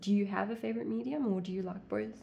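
A woman speaks at a medium pitch with lively intonation. Noticeable background noise is present. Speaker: interviewer, young actress. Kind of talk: casual interview chat.

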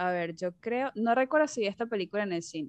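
A woman with a plain, everyday voice speaks at a medium pitch and moderate pace. The sound is dry and close with no echo, over a quiet background. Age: 20s. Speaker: podcast host. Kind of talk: casual chat.

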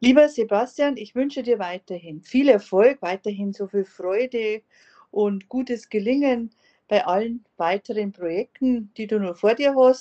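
Speaking at a fairly slow pace, this woman has a fairly high pitch, ordinary pitch variation, and a plain, everyday voice. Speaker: podcast host. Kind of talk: interview.

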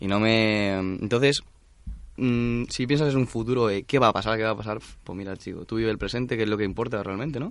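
A normal speaking voice from a man, medium in pitch, at a fairly quick pace with fairly even intonation. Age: young. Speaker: student. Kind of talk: interview.

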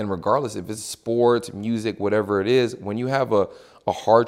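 An unremarkable speaking voice from a man, fairly low in pitch with ordinary pitch variation, on a very clean recording with a silent background. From Texas, Houston. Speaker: athlete rep, former NFL player. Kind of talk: casual interview.

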